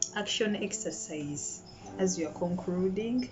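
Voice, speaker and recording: Over music in the background, a woman speaks fairly slowly at a medium pitch with lively intonation. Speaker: storyteller. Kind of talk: self-help audiobook reading.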